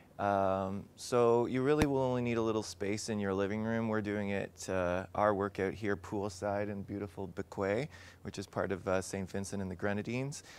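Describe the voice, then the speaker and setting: In a normal speaking voice, a man talks at a moderate pace with hardly any pauses, his pitch fairly low and the sound dry with no echo. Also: fairly even intonation. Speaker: fitness instructor. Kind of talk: workout instruction.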